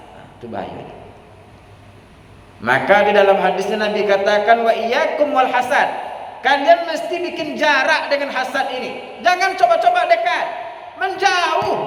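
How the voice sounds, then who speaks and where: Over noticeable background noise and audible room echo, a man with an extremely high voice speaks fairly slowly in an animated tone, with lively intonation and big swings in loudness. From Indonesia, Bangkinang, Riau (Ocu). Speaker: Islamic preacher. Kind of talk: sermon. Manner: blunt, rough-sounding delivery; emphatic, animated.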